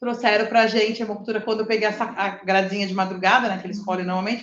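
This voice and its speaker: Speaking at a very fast pace, a woman is heard with audible room echo. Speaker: lecturer. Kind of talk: lecture. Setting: live stream with in-person audience.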